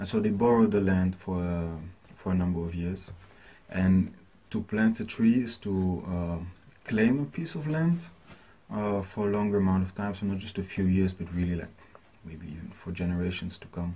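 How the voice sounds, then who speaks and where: A man with a very deep, low pitch and a dark, mellow tone speaks at a moderate pace with ordinary pitch variation, somewhat breathy, with big swings in loudness. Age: 20s. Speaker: smallholder farmer. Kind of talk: prepared statement to camera. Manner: hesitant, many fillers. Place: home room. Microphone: webcam.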